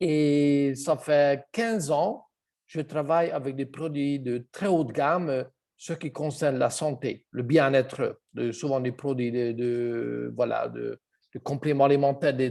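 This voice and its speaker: A man with a Hungarian accent, a dark, mellow tone, fairly high pitch, ordinary pitch variation and a very slow pace. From Hungary. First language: Hungarian (speaking French). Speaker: health product seller. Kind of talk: online presentation. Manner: halting.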